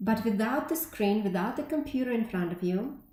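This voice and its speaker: A woman with a Russian accent speaks at a moderate pace, her fairly high, somewhat breathy voice having a dark, mellow tone and lively intonation amid audible room echo. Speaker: tech company representative, conference speaker. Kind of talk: conference talk.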